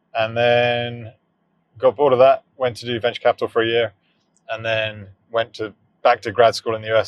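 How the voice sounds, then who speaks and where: A man's medium-pitched voice with a British accent at a very fast pace. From southern England. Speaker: startup founder. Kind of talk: casual chat. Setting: in a car.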